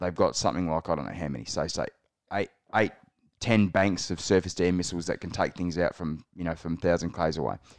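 Talking at a very fast pace, a man speaks. He has an Australian accent. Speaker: podcast co-host. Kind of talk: casual chat.

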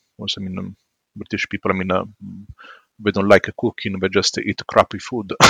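In an Italian accent, the voice has a bright, sharp tone and a dry, close sound with no echo. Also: man. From southern Italy, Matera. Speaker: psychologist. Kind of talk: casual interview. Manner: halting, many fillers.

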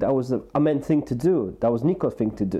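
With ordinary pitch variation, the man moves along at a fairly quick pace. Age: 40s. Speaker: podcast co-host, support worker. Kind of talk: casual chat. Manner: rambling, hesitant with fillers.

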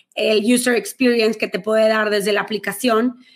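A woman's ordinary speaking voice, fairly even in intonation. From Mexico, Monterrey. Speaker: finance coach. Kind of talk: interview.

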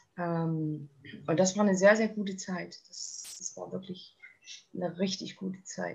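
A woman with a plain, everyday voice talks at a fairly slow pace, using medium pitch and fairly even intonation. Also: big swings in loudness. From Thuringia, eastern Germany. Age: 30s. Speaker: eating disorder survivor sharing her story. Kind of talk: interview testimony. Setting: podcast interview.

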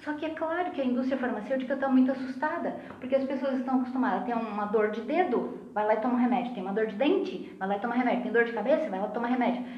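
Speaking very fast with hardly any pauses, a woman with a Rio Grande do Sul accent uses a high pitch and ordinary pitch variation, with audible room echo and noticeable background noise. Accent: sounds gaúcho (southern Brazilian). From Santa Catarina, Brazil (Lages). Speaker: pharmacist and spiritist speaker. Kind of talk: casual chat.

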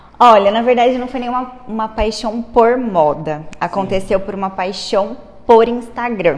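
A woman's fairly high voice with ordinary pitch variation at a moderate pace, amid noticeable background noise and audible room echo. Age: 20s. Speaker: entrepreneur, clothing store owner. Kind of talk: interview.

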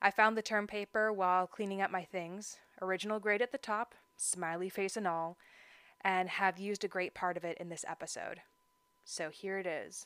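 The sound is dry and close, with no echo. It is a very clean recording with a silent background. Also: woman, medium pitch for a woman, moderate pace. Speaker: wine podcast host. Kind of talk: scripted narration. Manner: animated.

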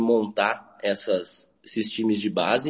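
A man speaks in an ordinary speaking voice. His pitch is medium and his pace fairly slow. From Maracaju, Mato Grosso do Sul, Brazil. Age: 30s. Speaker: football club president, accountant. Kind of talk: live radio interview.

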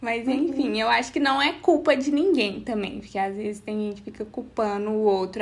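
This is a plain, everyday voice at a moderate pace. The pitch varies in an ordinary way. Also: woman. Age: 20s. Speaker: podcast host. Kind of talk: casual chat.

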